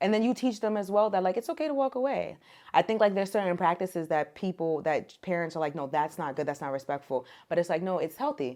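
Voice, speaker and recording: A loud woman with an American accent, dark and mellow in tone, very fast, with very wide pitch swings, on a very clean recording with a silent background. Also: medium pitch for a woman. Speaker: case manager and mother. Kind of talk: casual podcast interview. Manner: naturally loud voice; casual, filler-heavy.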